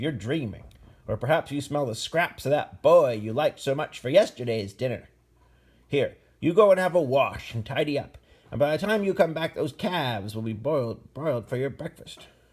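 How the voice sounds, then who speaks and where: A man's put-on character voice, fairly high in pitch, in a very clean recording with a silent background. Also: moderate pace. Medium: read story.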